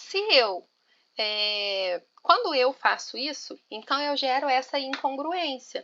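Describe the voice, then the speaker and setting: A woman speaks at a very slow pace with a high pitch. Her bright, sharp tone swings very widely in pitch. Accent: strong Minas Gerais. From Minas Gerais, Brazil. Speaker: teacher and study group leader. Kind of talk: online class discussion. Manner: informal, colloquial.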